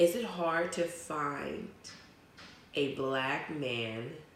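A woman's very deep, low voice with lively intonation, amid audible room echo and noticeable background noise. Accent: American. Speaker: podcast co-host. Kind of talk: casual chat.

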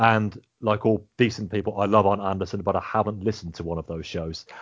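Here a man speaks with an English accent at a fairly low pitch. His pitch varies in an ordinary way, and his pace is moderate. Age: 30s. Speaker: podcast host. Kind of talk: casual chat.

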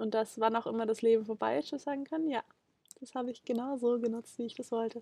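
Speaking at a very fast pace, a woman has a fairly high pitch and a dark, mellow tone. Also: ordinary pitch variation. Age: 20s. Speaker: documentary film protagonist. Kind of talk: interview. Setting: on location, in person.

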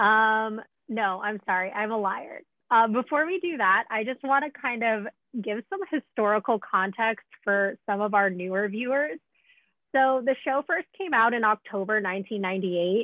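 In a plain, everyday voice, a woman talks at a fairly slow pace with a fairly high pitch and ordinary pitch variation. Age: 20s. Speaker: podcast host, writer and adjunct professor. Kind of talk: casual podcast chat.

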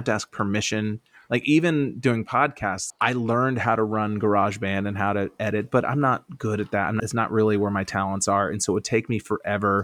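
A man with an American accent talks at a medium pitch in a plain, everyday voice. The recording is very clean with a silent background and a dry, close sound with no echo. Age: 40s. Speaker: stand-up comedian. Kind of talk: casual interview chat.

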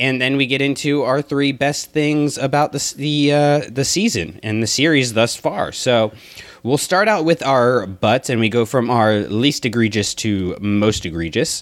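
A man with a plain, everyday voice speaks at a fairly slow pace in a medium pitch, his intonation lively and his loudness very even, on a very clean recording with a silent background. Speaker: podcast host. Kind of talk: casual chat.

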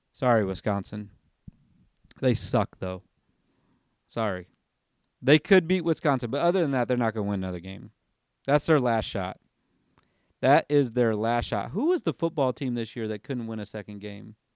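In a very clean recording with a silent background and a dry, close sound with no echo, a man speaks at a moderate pace and medium pitch, with lively intonation and long, frequent pauses. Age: 30s. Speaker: sports podcast host. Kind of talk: casual solo podcast monologue. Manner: casual with frequent fillers.

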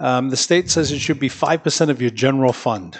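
A man with an American accent talks at a very fast pace. His pitch sits in the medium range, with ordinary variation. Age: 60s. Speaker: city mayor. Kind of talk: casual chat. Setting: studio.

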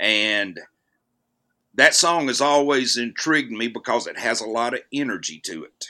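A man's bright, sharp tone at a moderate pace, with big swings in loudness. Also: medium pitch for a man, lively intonation, very clean recording, silent background. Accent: Southern US. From US South, north Alabama. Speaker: actor. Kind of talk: casual chat.

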